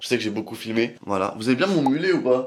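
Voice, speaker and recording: There is noticeable noise in the background. The man speaks at a medium pitch with lively intonation. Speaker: vlogger and photographer. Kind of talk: casual vlog room tour. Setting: at home, bedroom. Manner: fast.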